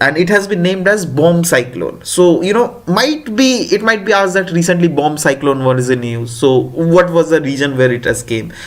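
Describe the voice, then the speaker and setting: Noticeable background noise sits under this recording. A man with a high pitch swings his pitch very widely. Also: moderate pace. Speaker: exam prep teacher. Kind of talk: lecture. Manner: halting, many fillers.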